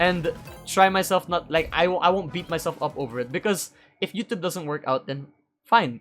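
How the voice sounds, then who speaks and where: High-pitched for a man, his voice moves at a moderate pace with ordinary pitch variation. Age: young. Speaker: YouTuber. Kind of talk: casual vlog monologue. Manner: halting, stuttering.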